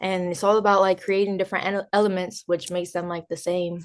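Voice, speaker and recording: In a New Jersey accent, a woman speaks in a fairly low voice with monotone, flat intonation. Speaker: DJ and music producer. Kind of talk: interview.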